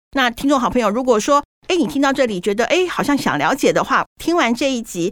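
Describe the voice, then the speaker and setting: A woman talks at a fairly quick pace in a high voice with very wide pitch swings. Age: 50s. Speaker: podcast host. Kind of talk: casual chat. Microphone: muffled by face mask, breathing audible.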